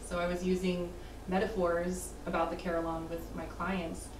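A woman speaks at a fairly low pitch and a moderate pace. Noticeable background noise sits behind her. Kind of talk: interview answer.

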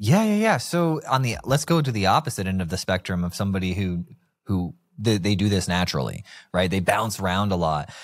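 This man speaks fairly quickly with a fairly low pitch and lively intonation against a quiet background. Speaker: podcast host. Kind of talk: casual interview chat. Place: studio. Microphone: studio mic.

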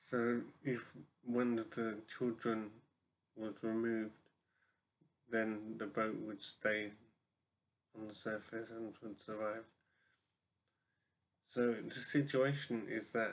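A man talks very slowly, with long, frequent pauses. His intonation is monotone and flat, and there is light background noise. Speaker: vlogger posing a question. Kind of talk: casual vlog chat. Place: home room. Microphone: webcam.

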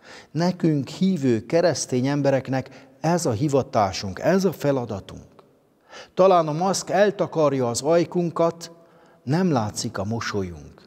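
A man at a very slow pace with lively intonation, against a quiet background. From Transylvania, Romania (Székely Land); Transylvania, Romania. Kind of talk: spiritual reflection. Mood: calm, warm, devotional. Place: church.

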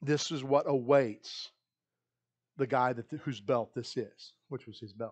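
A man at a fairly slow pace, fairly even in intonation, with big swings in loudness against a quiet background. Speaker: pastor. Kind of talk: sermon. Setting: church. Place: church.

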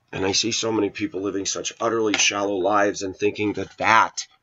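A man speaks in an animated tone. His pace is fairly quick and his pitch fairly low. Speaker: video blogger. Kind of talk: casual rant monologue. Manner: opinionated, animated. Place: kitchen. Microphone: webcam.

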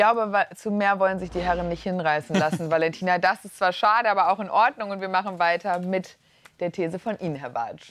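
A woman talks at a fairly quick pace in a plain, everyday voice, medium in pitch with ordinary variation. Her loudness swings widely, and the sound is dry with no echo. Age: young. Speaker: talk show host. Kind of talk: moderated TV debate. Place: studio. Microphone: lapel.

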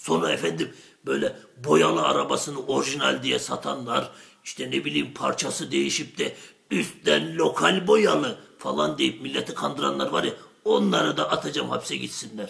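A man uses a cartoonish character voice at a very deep, low pitch and a moderate pace. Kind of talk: traditional shadow-puppet comedy. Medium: comedy sketch. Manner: boastful, rambling, coarse, fast.

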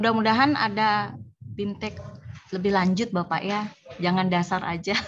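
A woman speaks at medium pitch in a somewhat breathy voice. Her pace is moderate and her pitch varies in an ordinary way. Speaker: tax office employee. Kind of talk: training discussion. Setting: video call.

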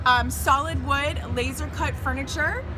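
A woman talks over clear music in the background. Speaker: presenter. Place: hall. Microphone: phone near.

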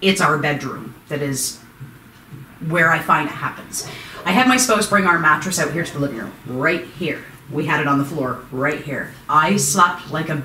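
A woman with a very deep, low pitch speaks at a moderate pace, with audible room echo and light background noise. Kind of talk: interview answer. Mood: uneasy, nervous laughter. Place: home room. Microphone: camera far.

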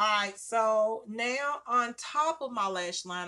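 A woman speaks at a very slow pace. Her tone is bright and sharp. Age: 40s. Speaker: beauty vlogger. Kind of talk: makeup tutorial. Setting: at home by a window. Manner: casual, chatty. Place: home room. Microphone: phone near.

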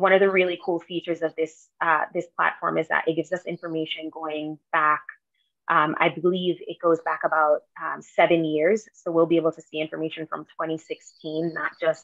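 In a dry recording with no echo and a quiet background, a woman with a fairly low voice speaks at a moderate pace in a flat monotone. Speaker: town staff member reporting. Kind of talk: meeting report. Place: home room. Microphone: video call.

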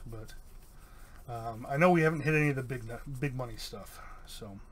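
A somewhat breathy voice moves at a fairly quick pace with ordinary pitch variation, over light background noise. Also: man. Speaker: YouTube card-game channel host; card opening streamer. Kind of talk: casual booster box opening. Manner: hesitant, many fillers. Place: home room.

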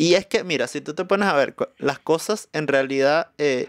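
Speaking at a moderate pace, a man has a fairly high pitch and ordinary pitch variation. The sound is dry with no echo. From Venezuela, Caracas. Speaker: musician and comedian; comedian. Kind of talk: casual chat. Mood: joking, animated. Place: studio. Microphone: studio mic.

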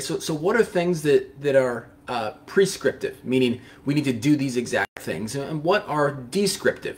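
A man speaks with lively intonation in a somewhat breathy voice. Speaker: pastor or Bible teacher. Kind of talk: devotional Bible teaching. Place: studio.

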